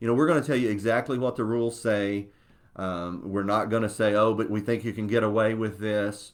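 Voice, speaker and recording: At a fairly quick pace, a man speaks in a fairly low pitch with fairly even intonation. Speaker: CPA and church tax consultant. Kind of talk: webinar presentation. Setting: Facebook Live webinar. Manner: fast.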